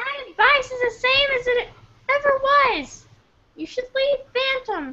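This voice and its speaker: A female-sounding put-on character voice at an extremely high pitch moves at a fairly slow pace, broken by long, frequent pauses. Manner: advising, stern.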